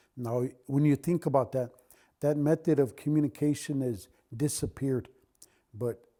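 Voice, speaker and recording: Speaking in a Lakota accent, the man has a dark, mellow tone at medium pitch, a moderate pace and ordinary pitch variation. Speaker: Lakota elder and culture keeper. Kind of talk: oral teaching talk. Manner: halting, with self-corrections.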